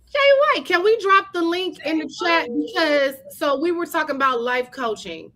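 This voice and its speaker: A woman projects a raised voice at an extremely high pitch, her pitch swinging very widely. She keeps a moderate pace with hardly any pauses. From Chicago, South Side. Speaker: podcast co-host with a doctorate. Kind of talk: casual chat. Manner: animated.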